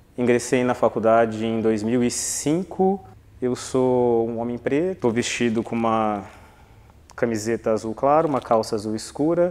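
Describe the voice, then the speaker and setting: Medium pitch, ordinary pitch variation and a normal speaking voice from a man. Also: fairly slow pace. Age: 30s. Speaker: law graduate, former quota student. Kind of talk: documentary interview.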